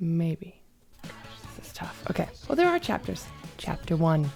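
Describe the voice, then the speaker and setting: Over music in the background, a woman speaks in an enthusiastic tone. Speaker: volleyball commentator and former Olympian. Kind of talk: casual talk to camera, reaction video. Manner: chatty, enthusiastic, joking.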